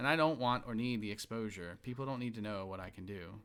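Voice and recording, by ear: Someone is reading aloud in a natural voice, the pitch showing ordinary variation.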